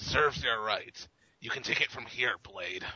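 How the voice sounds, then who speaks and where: Put-on character voice from a man, medium in pitch, at a moderate pace. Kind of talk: comic overacting. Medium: read story. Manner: gruff, swaggering.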